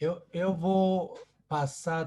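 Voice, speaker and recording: A dark, mellow, somewhat breathy voice on a very clean recording with a silent background. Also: man. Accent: Japanese. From Japan. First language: Japanese (speaking Portuguese). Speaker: event organizer. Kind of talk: closing remarks. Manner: halting, repeats words.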